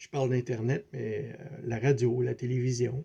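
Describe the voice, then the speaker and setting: A somewhat breathy man with a Quebec accent and a dark, mellow tone. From Quebec City, Canada. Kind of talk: spiritual video talk. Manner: hesitant, many fillers; repetitive, conversational.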